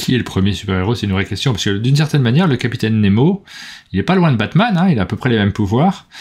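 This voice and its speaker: A man's somewhat breathy voice at a very fast pace with very wide pitch swings, against a quiet background. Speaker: board game news host. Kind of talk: casual chat. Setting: live stream. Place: home room.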